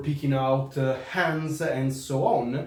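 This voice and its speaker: A man with an Italian accent speaks at a fairly high pitch, with audible room echo and noticeable background noise. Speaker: historical fencing instructor. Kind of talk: product review. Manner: halting.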